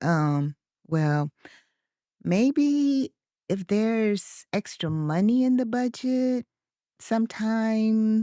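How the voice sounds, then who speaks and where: This put-on character voice sits fairly high and mumbles along at a very slow pace. Long pauses come often. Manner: mumbling, hesitant.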